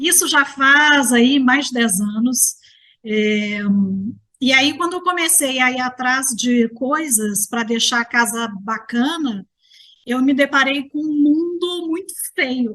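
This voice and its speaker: With a Minas Gerais accent, a woman speaks very slowly in a raised, projected voice with a high pitch, a bright, sharp tone and ordinary pitch variation. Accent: Mineiro Brazilian Portuguese. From Minas Gerais, Brazil. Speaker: architect and gerontologist. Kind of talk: interview conversation.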